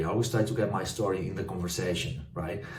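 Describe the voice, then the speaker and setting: In a Spanish accent, a man with a dark, mellow tone sounds somewhat breathy, going at a fairly quick pace with ordinary pitch variation. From northwest Spain. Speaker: property developer. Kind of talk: casual talk to camera. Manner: hesitant, many fillers.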